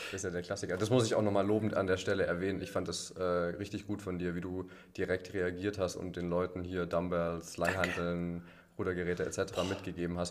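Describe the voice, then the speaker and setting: Speaking at a fairly quick pace, a man with a very deep, low voice keeps a monotone, flat intonation. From Allgäu, southern Germany. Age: 20s. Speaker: boatbuilder apprentice, CrossFit member. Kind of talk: casual interview chat.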